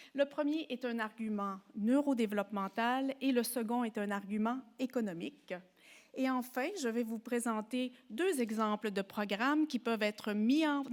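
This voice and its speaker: In a very clean recording with a silent background, a woman speaks with a Quebec accent at a fairly slow pace. Her voice is fairly high, with ordinary pitch variation. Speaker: professor and psychologist. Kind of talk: lecture. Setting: symposium before an audience.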